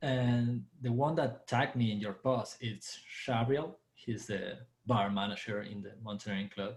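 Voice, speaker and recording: A man with an Argentine accent and a somewhat breathy voice at a fairly slow pace, with ordinary pitch variation and hardly any pauses. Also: medium pitch for a man. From Argentina. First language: Spanish. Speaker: dancer and bartender. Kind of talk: casual chat.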